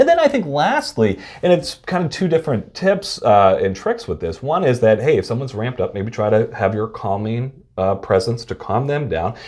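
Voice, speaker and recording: A somewhat breathy, medium-pitched male voice with very wide pitch swings. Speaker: behavioral health consultant. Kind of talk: casual chat. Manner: fast.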